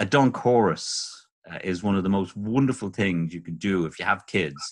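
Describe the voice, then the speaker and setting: A man with a fairly low pitch talks over a quiet background. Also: ordinary pitch variation, moderate pace. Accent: Dublin. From Ireland, North Dublin. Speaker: birdwatcher and author. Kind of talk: podcast interview.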